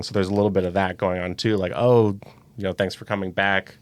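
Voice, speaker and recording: A man with an American accent and a normal speaking voice talks at a fairly quick pace and fairly low pitch, on a very clean recording with a silent background. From US Midwest, Saint Louis. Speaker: volunteer driver. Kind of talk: podcast interview.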